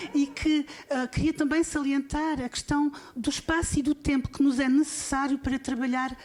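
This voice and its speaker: A woman speaks in a high pitch. She has a European Portuguese accent. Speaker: university vice-rector. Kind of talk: opening speech at symposium. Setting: conference panel with audience. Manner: halting.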